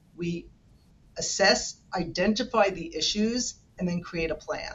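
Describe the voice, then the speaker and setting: A strong New York accent at a fairly slow pace. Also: woman, medium pitch for a woman, ordinary pitch variation. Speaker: senior care manager. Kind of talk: podcast interview. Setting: remote call.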